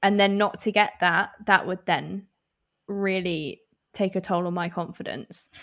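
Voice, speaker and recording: Speaking with an English accent, a woman keeps her intonation monotone and flat. The recording is very clean, with a silent background. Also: medium pitch for a woman, fairly slow pace. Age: 20s. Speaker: podcast co-host. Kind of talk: casual chat.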